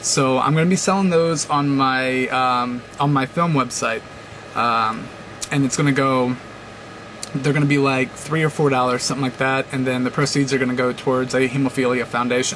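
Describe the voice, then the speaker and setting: A man at medium pitch keeps his loudness very even and his intonation fairly even, with noticeable background noise behind him. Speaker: video blogger. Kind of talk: casual vlog monologue. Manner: fast; hesitant, many fillers.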